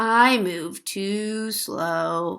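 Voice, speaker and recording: A woman uses a put-on character voice at a medium pitch, on a very clean recording with a silent background. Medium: read story.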